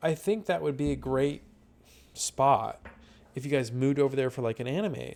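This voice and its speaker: This man mumbles at a fairly quick pace with a fairly high pitch. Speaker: online roleplay community admin reviewer. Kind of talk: casual spoken review. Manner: mumbling; hesitant, many fillers.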